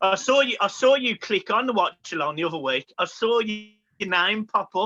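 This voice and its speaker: In a Birmingham accent, a man talks at a moderate pace. His pitch is high and his intonation lively. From Birmingham, England. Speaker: football podcaster. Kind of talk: casual chat. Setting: recording from home.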